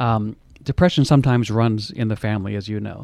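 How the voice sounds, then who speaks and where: On a very clean recording with a silent background, a man has an unremarkable speaking voice, medium in pitch with fairly even intonation. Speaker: radio host. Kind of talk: interview with his mother about her memoir.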